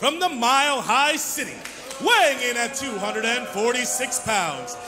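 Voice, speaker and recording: A man's raised, projected voice against clear music in the background. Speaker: professional wrestling ring announcer. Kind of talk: wrestling ring announcement. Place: hall. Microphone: handheld.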